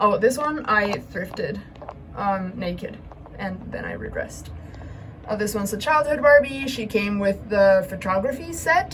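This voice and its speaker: Over noticeable background noise and audible room echo, a woman speaks at a medium pitch and a moderate pace, with big swings in loudness. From Chile. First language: Spanish. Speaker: doll collector, YouTuber. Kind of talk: collection tour vlog. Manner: casual, many filler ums.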